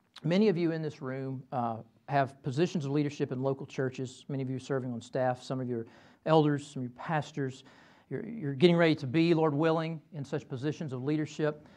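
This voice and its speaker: Against a quiet background, a man with a Southern US accent speaks very fast in a fairly high, dark and mellow voice with ordinary pitch variation. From Kentucky. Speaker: professor. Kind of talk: lecture. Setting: stage with audience. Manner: halting. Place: classroom. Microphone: lapel.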